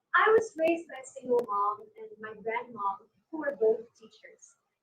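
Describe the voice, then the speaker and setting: A woman with a Filipino accent, her pitch swinging very widely at a moderate pace. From Philippines, Negros Occidental. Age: 20s. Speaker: pageant contestant. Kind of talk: pageant self-introduction.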